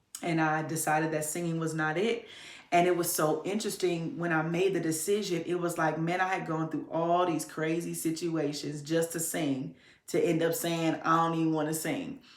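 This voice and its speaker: Audible room echo and noticeable background noise surround a woman's fairly low voice. She keeps a moderate pace with fairly even intonation. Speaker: podcast host. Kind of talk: personal storytelling monologue. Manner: conversational, casual.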